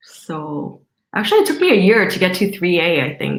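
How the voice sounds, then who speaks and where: A normal speaking voice comes from a woman at a medium pitch. She keeps a moderate pace. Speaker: network marketing distributor. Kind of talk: video call Q&A.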